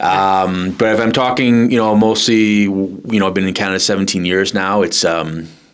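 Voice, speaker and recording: Over audible room echo, a man with an American accent speaks at a moderate pace with hardly any pauses, his pitch fairly low and his intonation fairly even. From New York area, north of New York City. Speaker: chocolatier, small business owner. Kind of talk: podcast interview. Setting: recorded at a market venue. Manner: casual, with many fillers and repetitions.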